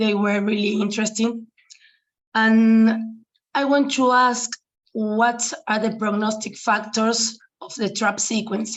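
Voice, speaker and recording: At a very slow pace, a woman with a Spanish accent speaks in a fairly high pitch, somewhat breathy and with monotone, flat intonation. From Argentina. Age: young. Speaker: physician. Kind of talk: conference Q&A question.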